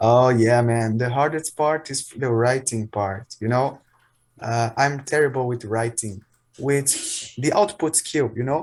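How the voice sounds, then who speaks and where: Using a medium pitch, a man with a non-native accent speaks at a fairly slow pace. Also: ordinary pitch variation, very clean recording, silent background. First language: not English. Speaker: English learner. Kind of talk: casual chat.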